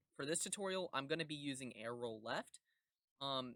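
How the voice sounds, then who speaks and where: This man's voice sits at medium pitch with ordinary pitch variation and a bright, sharp tone. The sound is dry and close, with no echo. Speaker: gaming youtuber. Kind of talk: tutorial. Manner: fast.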